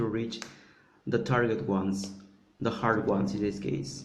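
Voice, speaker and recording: Speaking with a Spanish accent at a moderate pace, a man is heard with audible room echo. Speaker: polyglot conference speaker. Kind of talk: conference presentation. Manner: halting, many repetitions and fillers.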